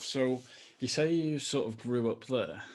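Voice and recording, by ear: With a slightly mellow tone, a man speaks at medium pitch, with ordinary pitch variation and a fairly slow pace.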